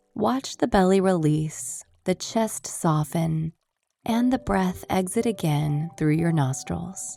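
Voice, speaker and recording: Over music in the background, a woman with a fairly low pitch speaks very slowly, her pitch swinging very widely. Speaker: meditation guide. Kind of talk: guided meditation.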